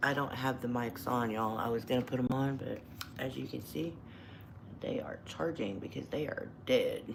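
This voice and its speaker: A woman talks at a moderate pace with an American accent. Audible room echo is present. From Texas. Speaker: truck driver and video blogger. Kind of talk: casual livestream chat. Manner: kept fairly quiet so as not to wake others.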